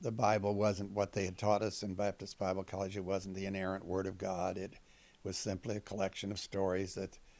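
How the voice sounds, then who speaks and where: A man talks at a fairly quick pace in a fairly low pitch. His intonation stays monotone and flat. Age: 70s. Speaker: retired former Baptist, atheist. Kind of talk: interview testimony. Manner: halting, many fillers.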